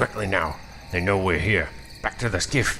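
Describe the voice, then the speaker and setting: A man growls in a gruff, put-on character voice of very deep, low pitch, at a moderate pace and very even loudness, with clear background noise. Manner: growling, urgent.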